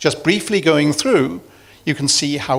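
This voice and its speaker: This is a man speaking with a British accent. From UK. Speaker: medical executive, former neurosurgeon. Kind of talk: conference talk.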